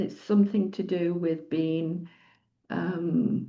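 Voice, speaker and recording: In a Yorkshire accent, a woman speaks at a medium pitch with fairly even intonation. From northern England, Doncaster, Yorkshire. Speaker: retreat leader and psychologist. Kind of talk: personal sharing in group circle. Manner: halting.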